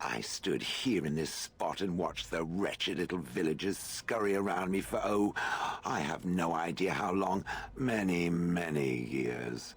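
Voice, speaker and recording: Putting on a character voice, a man goes very deep and low at a moderate pace, with clear background noise. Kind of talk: formal, archaic. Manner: fussy, prissy.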